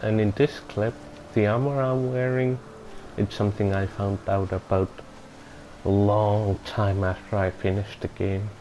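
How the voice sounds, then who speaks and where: A man with a fairly low pitch talks at a moderate pace, leaving long, frequent pauses. His intonation is fairly even, his loudness very even, and noticeable background noise sits behind him. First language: not English. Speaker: gaming video reviewer. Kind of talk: game review voiceover. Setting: home recording without soundproofing. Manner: halting, self-correcting.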